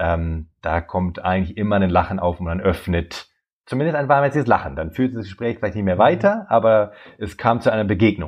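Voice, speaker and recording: The speaker is a man. His pitch sits fairly low. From Germany, Nordhorn (Lower Saxony). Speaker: biologist and safari travel agent. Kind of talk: interview conversation. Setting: remote call. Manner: hesitant, many fillers.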